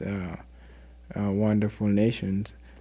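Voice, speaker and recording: A man's fairly low voice with an African accent and a dark, mellow tone. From Sudan. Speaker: refugee volunteer and community mentor. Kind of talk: casual interview.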